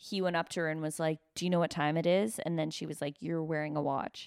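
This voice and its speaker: A woman with a fairly low pitch talks at a fairly quick pace in an unremarkable speaking voice. The sound is dry and close, with no echo. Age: 30s. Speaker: stand-up comedian. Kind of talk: casual chat.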